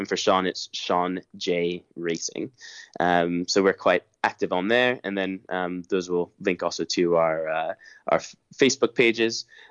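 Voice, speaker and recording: This man has a very deep, low pitch and an American accent. His pace is fairly slow. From United States. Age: 30s. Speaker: rally co-driver. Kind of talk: casual interview.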